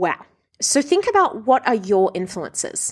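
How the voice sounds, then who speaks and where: In a very clean recording with a silent background, a woman with an Australian accent talks at a moderate pace with lively intonation. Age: 30s. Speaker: body image coach and podcast host. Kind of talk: solo podcast monologue.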